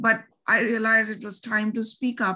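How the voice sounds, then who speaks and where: A woman's bright, sharp tone with a Bengali accent. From India, Delhi. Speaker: podcaster and researcher. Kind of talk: interview.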